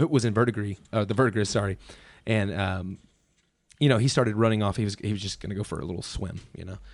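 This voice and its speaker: With a quiet background, a man with an unremarkable speaking voice talks at a fairly low pitch with ordinary pitch variation. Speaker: museum podcast co-host. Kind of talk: casual chat. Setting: basement studio. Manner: jokey, laughs often.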